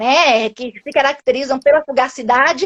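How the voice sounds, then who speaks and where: Her voice is high in pitch with ordinary pitch variation, and the woman speaks at a moderate pace in a dry, close sound with no echo. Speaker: linguistics professor. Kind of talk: academic talk in live interview. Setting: video call live stream.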